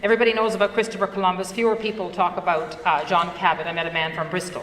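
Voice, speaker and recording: In a Newfoundland accent, a woman talks at a very fast pace, with audible room echo and noticeable background noise. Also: medium pitch for a woman, fairly even intonation. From Newfoundland, Canada (Fogo Island). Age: 60s. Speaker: entrepreneur and conference speaker. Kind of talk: conference talk.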